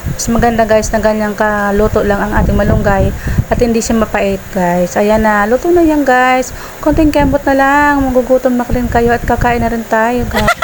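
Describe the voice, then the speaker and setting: A soft-spoken woman talks with a fairly high pitch and ordinary pitch variation. Her pace is moderate, with noticeable background noise behind her. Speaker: cooking vlogger. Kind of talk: cooking voice-over. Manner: getting quieter.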